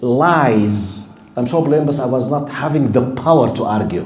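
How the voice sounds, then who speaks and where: A man with an Arabic accent talks at a fairly slow pace with lively intonation, amid audible room echo and noticeable background noise. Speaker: Islamic studies teacher. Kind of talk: lecture.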